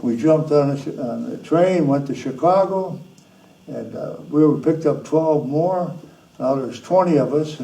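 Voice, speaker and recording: Somewhat breathy yet dark and mellow in tone, a man with an Upper Midwest accent speaks at a fairly high pitch and a moderate pace amid audible room echo. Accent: Upper Midwest American. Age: 90s. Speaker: war veteran. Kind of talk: interview. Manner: halting.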